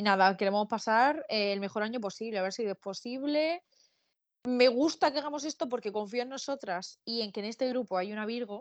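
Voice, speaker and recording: A woman with an ordinary speaking voice, fairly high in pitch, at a fairly quick pace with ordinary pitch variation. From Spain, Murcia. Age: 20s. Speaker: podcast co-host. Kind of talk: casual chat.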